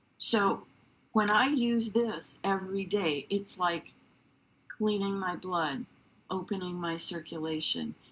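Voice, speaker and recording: A woman speaks very slowly at a medium pitch. Long, frequent pauses break up her ordinary pitch variation. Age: 70s. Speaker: wellness product presenter. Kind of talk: sales pitch. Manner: animated.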